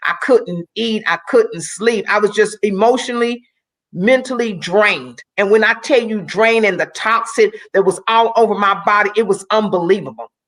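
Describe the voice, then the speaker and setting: Here is a woman with an ordinary speaking voice. She talks at a moderate pace with a fairly high pitch. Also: ordinary pitch variation. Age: 60s. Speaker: Olympic athlete and motivational speaker. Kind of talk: testimony.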